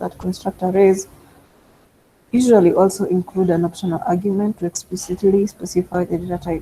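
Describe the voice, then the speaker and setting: Somewhat breathy and dark, mellow in tone, a woman speaks at a fairly quick pace with a medium pitch and monotone, flat intonation. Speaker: data science instructor. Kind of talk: online tutorial.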